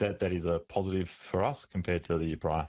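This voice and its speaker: A man talks at a fairly quick pace with an Australian accent. His pitch is very deep and low. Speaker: doctor, medical association president. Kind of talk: radio interview answer.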